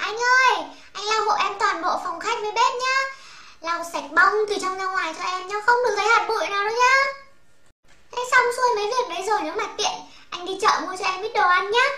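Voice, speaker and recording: Audible echo surrounds a woman speaking at an extremely high pitch and a moderate pace. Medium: fan dub.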